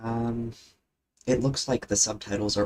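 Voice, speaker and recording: Speaking at a fairly slow pace, a man talks. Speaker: artist streaming drawing. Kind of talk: casual live-stream commentary while drawing. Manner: tends to get quiet when talking to self; hesitant, many filler words. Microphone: wired gaming headset mic close to mouth.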